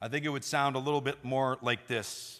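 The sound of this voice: The clip features an unforced reading voice.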